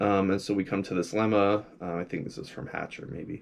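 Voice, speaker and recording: On a very clean recording with a silent background, a man with a plain, everyday voice speaks at a moderate pace, fairly low in pitch with ordinary pitch variation. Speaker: graduate student presenting research. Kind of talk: informal lecture. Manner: casual with many fillers.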